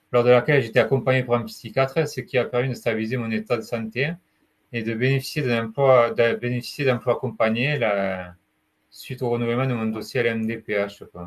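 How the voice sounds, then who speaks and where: The speech moves at a fairly quick pace with fairly even intonation against a quiet background. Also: man, medium pitch for a man. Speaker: retail sales advisor with mental illness. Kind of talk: testimony. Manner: halting.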